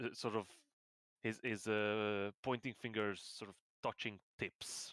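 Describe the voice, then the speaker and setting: A man with a non-native accent, fairly low in pitch, at a fairly slow pace with monotone, flat intonation. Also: dry, close sound with no echo. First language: not English. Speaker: game master. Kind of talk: tabletop roleplay narration. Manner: halting.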